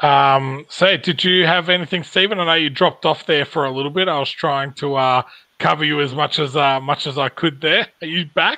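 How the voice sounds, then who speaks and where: Against a quiet background, a man with an Australian accent talks at a fairly quick pace, his fairly high voice carrying fairly even intonation. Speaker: podcast host. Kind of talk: casual chat. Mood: relaxed, friendly. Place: home room. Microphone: video call.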